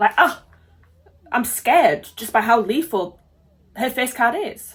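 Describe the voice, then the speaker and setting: A woman with a British accent, animated in tone, at a fairly slow pace. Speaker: reaction video youtuber. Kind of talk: casual reaction commentary.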